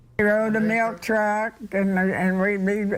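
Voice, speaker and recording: Speaking fairly slowly, a woman keeps her voice at a medium pitch. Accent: Kentucky. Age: 80s+. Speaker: centenarian interviewee. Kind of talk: TV news interview.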